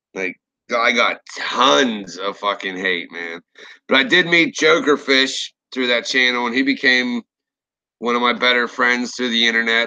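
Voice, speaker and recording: At a moderate pace, a man speaks with a bright, sharp tone and a medium pitch. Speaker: horror story narrator and YouTuber. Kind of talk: live stream rant. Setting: live stream. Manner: casual, profane.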